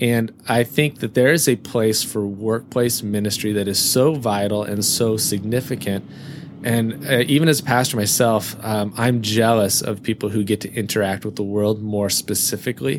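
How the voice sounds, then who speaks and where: With noticeable background noise, a man speaks at a moderate pace in a fairly low pitch, with ordinary pitch variation. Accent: American. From US Pacific Northwest. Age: 40s. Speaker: pastor. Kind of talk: interview conversation. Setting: inside an Airstream trailer on location.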